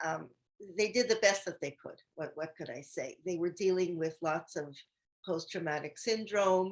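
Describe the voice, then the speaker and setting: Moving at a fairly slow pace with ordinary pitch variation, a plain, everyday voice speaks. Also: woman. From Canada, Montreal. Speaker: host's mother, guest speaker. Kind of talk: personal testimony.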